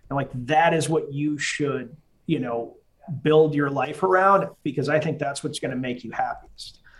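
Speaking with an American accent, a man has a fairly high, somewhat breathy voice, a moderate pace and fairly even intonation. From Massachusetts, US. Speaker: army veteran. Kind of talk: casual interview conversation.

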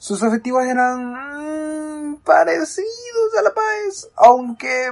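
A woman's voice with very wide pitch swings. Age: 20s. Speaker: youth radio host, university student. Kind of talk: casual radio show hosting.

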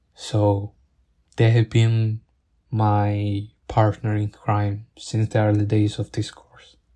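Speaking very slowly with a non-native accent, a man has a somewhat breathy, dark, mellow tone, fairly low pitch, monotone, flat intonation and big swings in loudness, in a dry, close sound with no echo. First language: not English. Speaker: podcaster, engineering student. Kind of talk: personal audio log, acknowledgements monologue. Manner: halting, self-correcting.

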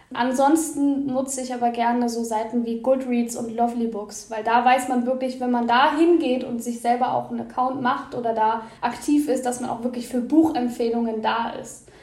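Noticeable background noise sits behind a woman with a high pitch and flat, monotone intonation. She speaks at a moderate pace with hardly any pauses. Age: 20s. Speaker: bookseller and book content creator. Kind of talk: podcast interview.

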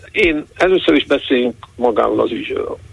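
A man's voice amid noticeable background noise. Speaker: economist and university professor. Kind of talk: radio interview. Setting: phone call. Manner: hesitant, many fillers. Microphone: distant and faint line.

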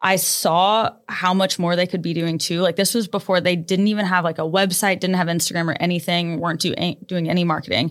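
With a Midwestern US accent, a fairly low-pitched woman talks at a fairly quick pace with hardly any pauses. Her intonation is monotone and flat, and her loudness stays very even. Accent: US Midwest. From Nebraska. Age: 20s. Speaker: boutique owner. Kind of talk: casual interview.

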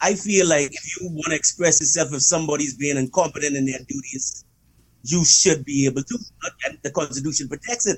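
A fairly quick, fairly high-pitched male voice with usual pitch movement, amid noticeable noise in the background. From Bahamas. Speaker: podcast guest. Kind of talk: casual chat.

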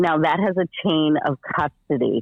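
In an American accent, a woman with a very deep, low pitch speaks at a fairly slow pace. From Massachusetts, Boston area. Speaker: political candidate. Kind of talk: radio interview. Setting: phone call.

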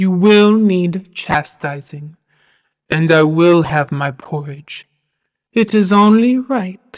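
Putting on a booming character voice at medium pitch, a woman speaks at a very slow pace. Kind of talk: horror audio drama. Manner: cold, proud, mocking, imperious.

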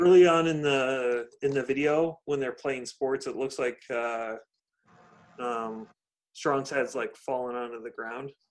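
Speaking fairly slowly with a Californian accent, a man of medium pitch keeps his intonation fairly even. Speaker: podcast host. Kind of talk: casual chat. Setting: video call.

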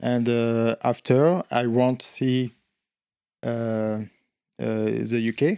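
Dry and close with no echo, a man with a French accent and a dark, mellow tone speaks at a very slow pace and a medium pitch, with long, frequent pauses and fairly even intonation. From central France. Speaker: bar owner. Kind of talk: casual interview. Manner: halting.

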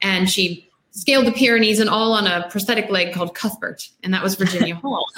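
Here is a woman with an American accent and an unremarkable speaking voice. Her pitch is medium, with ordinary pitch variation. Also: fairly quick pace. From US, Maryland. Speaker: novelist. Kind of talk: casual chat. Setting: video call.

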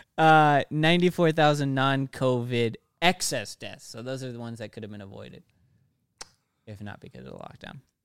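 A man speaks in an ordinary speaking voice at a medium pitch with ordinary pitch variation. His loudness swings widely, and the sound is dry and close with no echo. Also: fairly quick pace. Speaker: podcast co-host. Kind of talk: casual podcast discussion, cutting in on friends mid-rant.

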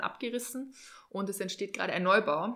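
Her tone bright and sharp, a woman speaks at a medium pitch with ordinary pitch variation. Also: very clean recording, silent background. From Regensburg, Germany. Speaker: dive instructor. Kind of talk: casual interview. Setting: on location by a lake.

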